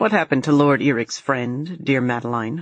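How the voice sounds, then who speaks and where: A woman puts on a character voice with a very deep, low pitch, speaking at a moderate pace. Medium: read story. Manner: soft-spoken, falsely kind.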